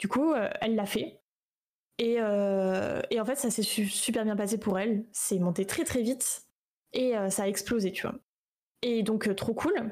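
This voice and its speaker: Speaking at a very slow pace with long, frequent pauses, a woman uses a fairly high pitch with ordinary variation. Her loudness stays very even, and the recording is very clean with a silent background. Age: 20s. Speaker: streamer and 3D artist. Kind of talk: casual interview. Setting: live stream.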